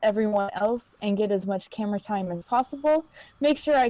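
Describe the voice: Reading aloud, plain and simple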